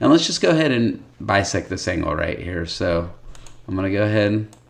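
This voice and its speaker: A man talks over noticeable background noise. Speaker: math teacher. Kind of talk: tutorial.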